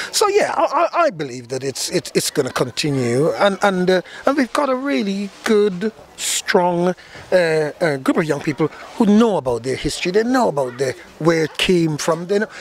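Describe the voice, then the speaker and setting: Speaking at a moderate pace, a man with a high pitch makes very wide pitch swings. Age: 60s. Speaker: steel band leader. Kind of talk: interview. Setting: live carnival event venue. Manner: halting, many repetitions.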